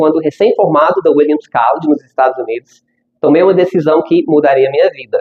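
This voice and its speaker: This man speaks with an English accent. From United States. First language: English (speaking Portuguese). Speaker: language school founder, speaker. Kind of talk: conference talk. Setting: stage with audience.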